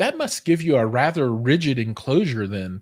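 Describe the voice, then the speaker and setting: In a very clean recording with a silent background, a man talks with an American accent at a medium pitch. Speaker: tech and hi-fi show host. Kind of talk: interview. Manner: hesitant, many fillers.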